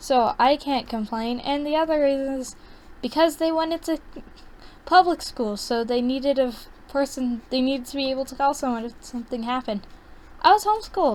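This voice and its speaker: A quiet woman's voice, high in pitch, at a fairly quick pace with ordinary pitch variation and big swings in loudness. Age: young. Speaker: artist streaming a drawing session. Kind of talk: casual chat while drawing. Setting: at home, baby asleep nearby. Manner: quiet, close to the mic.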